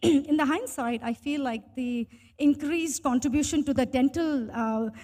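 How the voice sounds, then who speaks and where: With an Indian accent, a woman speaks at a high pitch in a dark, mellow tone, keeping a moderate pace and ordinary pitch variation. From India, Bangalore (early years in Bhutan). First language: Hindi. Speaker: tech professional. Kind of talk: interview storytelling.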